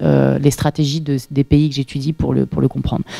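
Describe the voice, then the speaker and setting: A woman talks at a very fast pace in a dry, close sound with no echo, over noticeable background noise. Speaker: PhD researcher, seminar speaker. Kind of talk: lecture. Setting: seminar room with audience. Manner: hesitant, many fillers.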